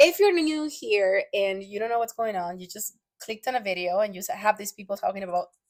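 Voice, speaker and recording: Fairly quick, animated speech from a woman with a Latin American accent, lively intonation, and big swings in loudness. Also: medium pitch for a woman. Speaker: podcast co-host. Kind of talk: casual chat.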